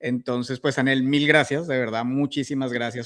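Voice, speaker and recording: A man speaks at medium pitch and a moderate pace, keeping his intonation fairly even. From Colombia. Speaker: podcast host. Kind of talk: interview.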